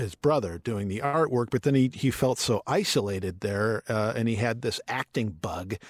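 A man with an American accent speaks at a fairly quick pace in an unremarkable speaking voice. His pitch sits at a medium level. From Michigan, US Midwest. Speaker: author and journalist. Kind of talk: interview conversation.

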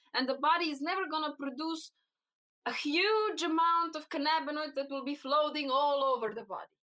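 With a Slovenian accent, this raised, projected voice moves at a fairly quick pace with ordinary pitch variation. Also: woman, high pitch for a woman. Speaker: cannabinoid researcher. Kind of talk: interview. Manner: halting.

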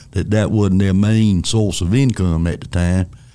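A man's fairly low, dark, mellow voice in a Southern US accent, at a moderate pace with fairly even intonation. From North Carolina. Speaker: retiring finance executive. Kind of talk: interview conversation. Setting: studio.

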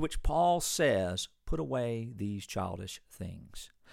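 In a very clean recording with a silent background, a man talks at a very slow pace in a fairly low pitch. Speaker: pastor. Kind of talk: sermon.

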